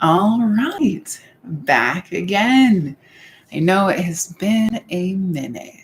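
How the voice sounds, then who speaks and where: A woman speaks very slowly at a medium pitch. Her somewhat breathy voice swings very widely in pitch. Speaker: YouTuber. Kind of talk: casual live-stream talk to camera.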